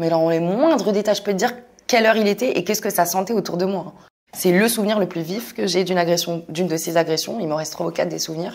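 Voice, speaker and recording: Her words come out at a very fast pace. The woman's pitch sits in the medium range. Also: ordinary pitch variation. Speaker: content creator. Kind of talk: testimony.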